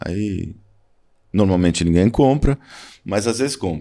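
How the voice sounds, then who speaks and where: A man speaks with lively intonation. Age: 60s. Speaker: photographer. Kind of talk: interview.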